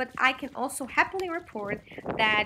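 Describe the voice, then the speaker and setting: Background noise is noticeable in this clip. A woman speaks at a rather slow tempo. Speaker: vlogger. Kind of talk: narrated vlog voice-over.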